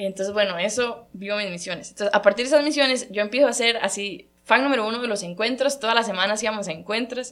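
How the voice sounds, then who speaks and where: A woman talks at a very fast pace with a fairly high pitch. She hardly pauses, and her pitch variation is ordinary. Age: 20s. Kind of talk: personal faith testimony.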